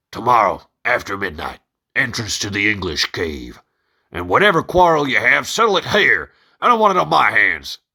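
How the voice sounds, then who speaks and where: A man speaks in a put-on character voice with a drawl, at medium pitch and a moderate pace, on a very clean recording with a silent background. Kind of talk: casual comic reading. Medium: read story. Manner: drawling, crude grammar.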